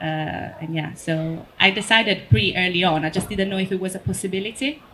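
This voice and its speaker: Speaking at a fairly quick pace, a woman has an Italian accent and a medium pitch with ordinary variation. Noticeable background noise is present. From Italy. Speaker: photographer. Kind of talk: panel discussion. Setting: stage with audience.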